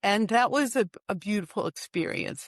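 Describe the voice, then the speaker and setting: A woman talks in a normal speaking voice with an American accent. Her pace is moderate. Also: quiet background. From US East Coast, Washington DC. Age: 60s. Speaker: author. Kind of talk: interview. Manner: casual with many fillers.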